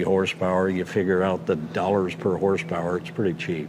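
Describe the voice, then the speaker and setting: A man with a very deep, low voice speaks with fairly even intonation against noticeable background noise. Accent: American. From Wyoming, US. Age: 70s. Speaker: car collector. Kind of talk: casual chat.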